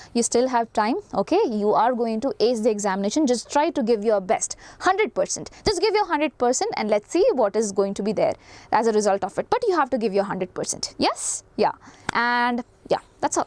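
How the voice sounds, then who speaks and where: A woman with an Indian accent talks fairly quickly in a high voice with very wide pitch swings, the sound dry and close with no echo. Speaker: teacher. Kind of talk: lecture. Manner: fast.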